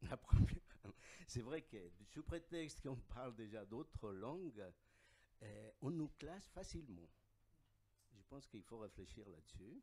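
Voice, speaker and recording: The man's tone is dark and mellow, with lively intonation. His pace is fairly slow. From Bolivia. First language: Aymara (speaking French). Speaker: audience member asking a question. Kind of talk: audience question and comment.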